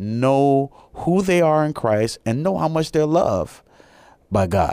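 With an American accent and lively intonation, a man uses an ordinary speaking voice at a fairly slow pace on a very clean recording with a silent background. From US Midwest, Chicago. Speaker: pastor. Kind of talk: radio interview.

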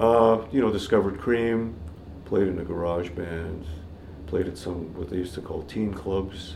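A man with a Canadian accent speaks at a very deep, low pitch and a moderate pace, somewhat breathy with ordinary pitch variation. Audible room echo surrounds the voice. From Canada, Toronto. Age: 60s. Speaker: jazz guitarist. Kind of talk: casual chat.

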